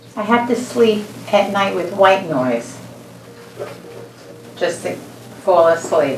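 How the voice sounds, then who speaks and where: A woman with a medium pitch talks at a very slow pace, with long, frequent pauses and lively intonation, over noticeable background noise and audible room echo. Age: 70s. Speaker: patient. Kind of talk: consultation with doctor.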